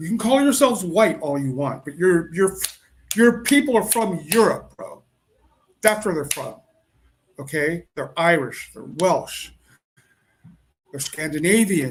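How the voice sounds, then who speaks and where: A man talks in a high voice with very wide pitch swings. He leaves long, frequent pauses. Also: fairly slow pace, big swings in loudness. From United States. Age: 60s. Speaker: podcast host. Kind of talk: casual monologue. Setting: home, music playing outside. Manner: halting, many repetitions.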